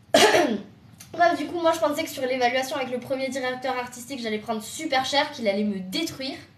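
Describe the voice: Amid noticeable background noise, a woman with a southern French accent talks at a moderate pace, her pitch high and its variation ordinary.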